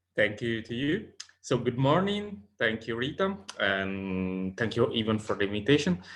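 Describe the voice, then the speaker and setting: Spoken with an Italian accent at a moderate pace, the voice moves through very wide pitch swings. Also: man, medium pitch for a man. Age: 30s. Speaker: sociologist and advocacy organization president. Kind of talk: conference presentation.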